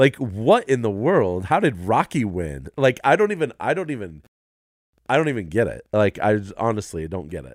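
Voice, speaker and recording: A man with a medium pitch speaks at a moderate pace, his pitch swinging very widely and his loudness rising and falling sharply, in a very clean recording with a silent background. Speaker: podcast producer and guest. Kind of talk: casual chat.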